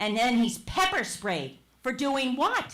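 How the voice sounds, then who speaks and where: Amid audible room echo, a woman with a New Jersey accent speaks at a fairly slow pace. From New Jersey, Verona. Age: 70s. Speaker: public commenter, retired teacher. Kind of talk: public comment at council meeting. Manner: impassioned, emphatic.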